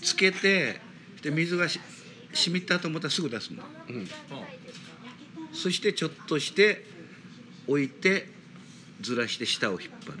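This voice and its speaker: This man has a high-pitched voice and talks at a moderate pace. He leaves long pauses, and often. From Kumamoto, Japan. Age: 70s. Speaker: plastic model shop owner. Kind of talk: casual chat.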